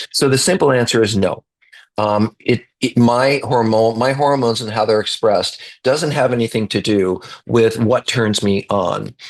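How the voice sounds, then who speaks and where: The voice belongs to a man with a medium pitch. It shows ordinary pitch variation. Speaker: therapist. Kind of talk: live online course Q&A. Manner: fast.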